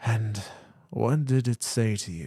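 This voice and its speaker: A man's put-on character voice at a medium pitch. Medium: read story. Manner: slow, warm, patient.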